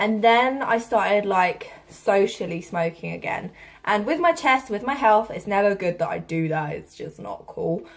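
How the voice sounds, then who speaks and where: A woman with a British accent speaks at a medium pitch, her intonation lively and full of movement. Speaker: vlogger. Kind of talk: casual vlog talk. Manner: hesitant, lots of fillers.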